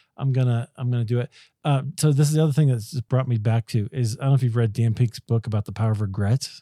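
A man speaks very fast with a dark, mellow tone and fairly even intonation, recorded dry and close with no echo. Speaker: podcast host. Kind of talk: interview conversation. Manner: hesitant, many fillers.

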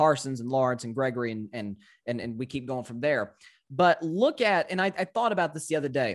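The speaker is a man with a slight Southern US accent and lively intonation. The recording is very clean, with a silent background. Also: medium pitch for a man. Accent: slight Southern drawl. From US South, Tennessee. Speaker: sports podcaster. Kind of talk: casual sports debate. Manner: halting, repeats words.

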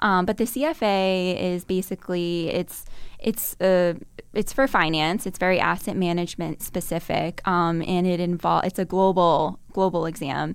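A plain, everyday voice from a woman with an American accent, fairly low pitch and fairly even intonation at a moderate pace, on a very clean recording with a silent background. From Massachusetts, Burlington near Boston. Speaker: finance research analyst. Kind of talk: interview.

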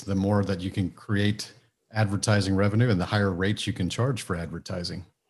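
On a very clean recording with a silent background, a man speaks at a fairly quick pace and fairly low pitch, his intonation fairly even. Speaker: business mentor and author. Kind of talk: interview. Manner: down to earth.

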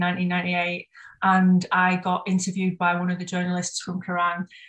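In a Yorkshire accent, a woman speaks at a moderate pace with a medium pitch. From northern England, Bradford. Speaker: tattoo artist and shop co-owner. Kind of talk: casual chat.

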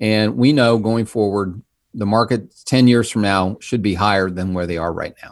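A man with a normal speaking voice, fairly low in pitch, at a moderate pace, with ordinary pitch variation and big swings in loudness. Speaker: financial advisor. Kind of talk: casual interview chat.

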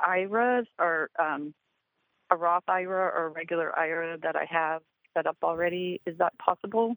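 A woman speaks at a medium pitch in an unremarkable speaking voice. Her pace is moderate, with ordinary pitch variation. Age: 50s. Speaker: caller, recently quit job. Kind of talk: call-in question.

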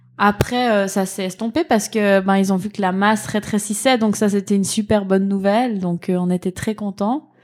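Using an unremarkable speaking voice, a woman talks at a moderate pace and medium pitch with fairly even intonation and hardly any pauses. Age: 30s. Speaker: mother of a child with cancer. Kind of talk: testimony. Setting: at her mother's home.

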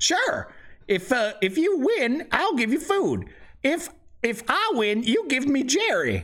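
The put-on character voice has a high pitch and very wide pitch swings, delivered at a very slow pace. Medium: actual play. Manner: dry, blunt.

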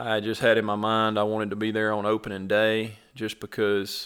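Here a man speaks in a Mississippi accent at a moderate pace. His pitch is fairly low and his intonation monotone and flat. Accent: Southern US (Mississippi). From Mississippi, US South. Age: 30s. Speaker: turkey hunter. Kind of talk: casual chat.

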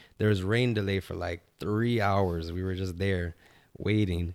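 Captured in a very clean recording with a silent background, a man in a normal speaking voice talks at a fairly low pitch with fairly even intonation. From Toronto, Canada. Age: 20s. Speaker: professional soccer player. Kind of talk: casual interview.

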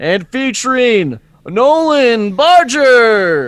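A put-on character voice at a very slow pace, with very wide pitch swings. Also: man. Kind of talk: announcer, show credits. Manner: proud, showy.

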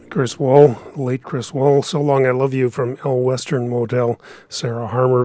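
A man's dark, mellow, medium-pitched voice at a fairly slow pace, with fairly even intonation. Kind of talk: radio dj patter.

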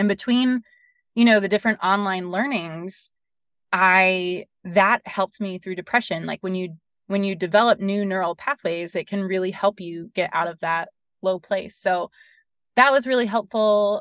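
A woman with an American accent and an ordinary speaking voice, medium pitch, fairly even intonation, and a dry, close sound with no echo over a quiet background. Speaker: bereaved mother, charity founder. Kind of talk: interview. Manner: many fillers (um, like, you know).

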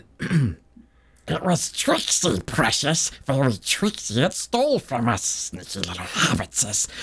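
A put-on character voice, raspy and strained, at a fairly slow pace. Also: man. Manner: whining, hissing, obsessive.

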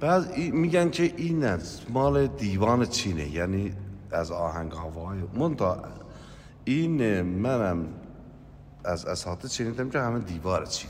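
A man with an Azerbaijani accent, fairly low-pitched, very slow, with very wide pitch swings and audible room echo. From East Azerbaijan, Shabestar area. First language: Azerbaijani Turkish (speaking Persian). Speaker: ashik folk musician. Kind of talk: interview storytelling.

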